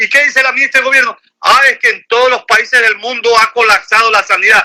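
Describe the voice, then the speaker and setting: A man speaks very fast in an extremely high, bright and sharp voice, raised and projected, with ordinary pitch variation and very even loudness. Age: 60s. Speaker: lawyer and political commentator. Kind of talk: phone interview. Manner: animated.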